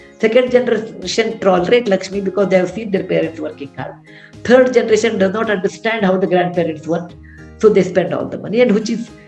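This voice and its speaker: With music in the background, a woman at a medium pitch speaks at a very fast pace. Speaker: author. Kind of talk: storytelling at a book session. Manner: conversational, hesitant.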